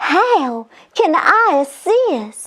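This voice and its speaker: A woman squeaks out a put-on character voice at an extremely high pitch with very wide pitch swings. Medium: read story. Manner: warm, friendly.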